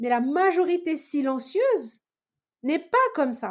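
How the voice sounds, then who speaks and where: A woman talks in an animated tone. Her pitch swings very widely. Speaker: sales professional and entrepreneur. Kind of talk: podcast interview. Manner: loud, animated; halting, many fillers and repetitions.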